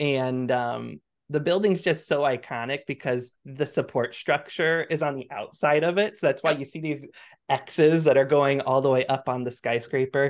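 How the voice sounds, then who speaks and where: A man with an American accent has a normal speaking voice, pitched fairly high, with fairly even intonation at a moderate pace over a quiet background. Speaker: Twitch streamer and interior designer. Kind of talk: casual chat.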